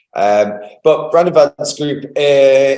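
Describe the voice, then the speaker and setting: A man's fairly high voice in a British accent. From Manchester, England. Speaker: company founder and CEO. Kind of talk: interview. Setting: office.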